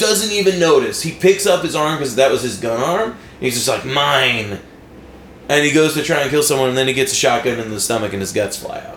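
Loud, fairly quick speech with very wide pitch swings over noticeable background noise. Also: man, fairly high pitch for a man. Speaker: podcast host. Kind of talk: casual banter, comedic chat.

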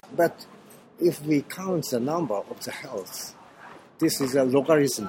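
Noticeable background noise sits behind a man speaking with a strong Japanese accent. His pitch is fairly high, with ordinary variation. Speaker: orchestra conductor. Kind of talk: interview. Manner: halting.

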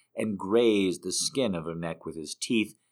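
The reading voice sounds natural. Pitch rises and falls in a typical way.

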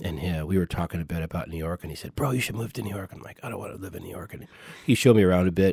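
A very deep, low male voice with an American accent, dry and close with no echo, on a very clean recording with a silent background. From California. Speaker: jazz trumpet player. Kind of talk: interview. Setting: studio.

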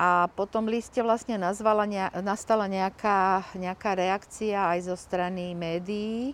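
A woman at medium pitch speaks at a fairly slow pace with fairly even intonation against a quiet background. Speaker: activist parent. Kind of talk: interview. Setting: outdoors. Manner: halting.

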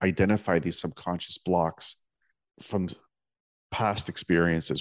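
A quiet background frames a dry, close sound with no echo. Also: man. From Toronto area, Canada. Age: 40s. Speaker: podcast host. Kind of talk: interview.

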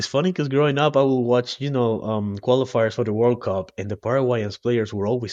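Someone with a Spanish accent is heard in a dry, close sound with no echo over a quiet background. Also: man. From Ecuador (coastal). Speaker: guest, expat. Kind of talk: casual interview chat.

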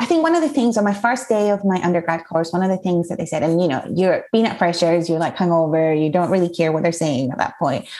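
At a very fast pace and with hardly any pauses, a woman speaks in a fairly low voice with ordinary pitch variation over noticeable background noise. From Spain (Mallorca), Scottish mother. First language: Spanish. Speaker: writer. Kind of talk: casual interview chat.

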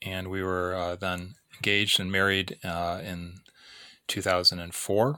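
Recorded very cleanly against a silent background, a man with an American accent and a very deep, low pitch speaks in a monotone, flat intonation with a bright, sharp tone and big swings in loudness. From US Midwest, Illinois. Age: 40s. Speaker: podcast host, missionary. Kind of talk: solo podcast monologue, personal reflection. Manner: reflective, hesitant with filler words.

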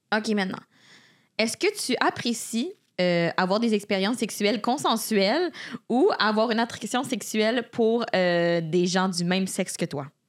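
Heard on a very clean recording with a silent background, a woman has an ordinary speaking voice and a fairly high pitch. She speaks at a fairly slow pace with lively intonation. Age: 20s. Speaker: podcast co-host. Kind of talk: quiz questions; casual chat.

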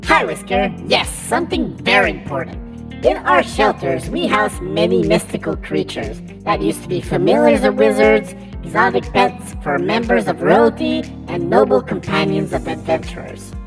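Clear background music under a put-on character voice at a moderate pace. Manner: earnest, then exasperated.

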